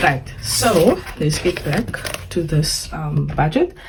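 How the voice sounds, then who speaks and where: Her pitch very deep and low, a woman speaks in a South African accent with lively intonation. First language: Afrikaans. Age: 20s. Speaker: personal finance vlogger. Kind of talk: budgeting tutorial. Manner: casual, hesitant with fillers.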